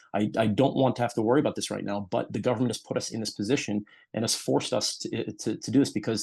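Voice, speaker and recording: Very fast and with an American accent, a man talks at medium pitch in a dark, mellow tone with vocal fry. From United States. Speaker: doctor. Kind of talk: interview. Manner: halting, many repetitions.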